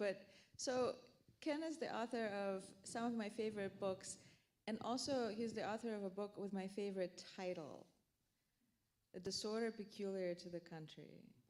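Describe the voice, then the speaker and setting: Speaking in a Russian accent, a woman talks at a moderate pace and medium pitch with ordinary pitch variation. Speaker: author. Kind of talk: panel discussion. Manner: halting.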